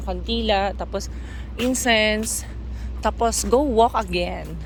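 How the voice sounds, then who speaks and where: A woman is speaking amid noticeable background noise. Room echo is audible. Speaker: vlogger. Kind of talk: vlog walk narration. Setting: outdoors.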